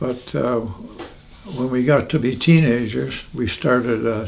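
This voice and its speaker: Over noticeable background noise, a man with an Ontario accent speaks at a very slow pace in a medium pitch with ordinary pitch variation. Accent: Canadian (Ontario). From Hamilton, Ontario, Canada. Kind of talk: interview answer.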